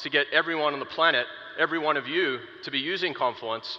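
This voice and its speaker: Against noticeable background noise, a man with a fairly high pitch talks at a fairly quick pace with ordinary pitch variation. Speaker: product marketer. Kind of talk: conference keynote talk. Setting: stage with audience. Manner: animated.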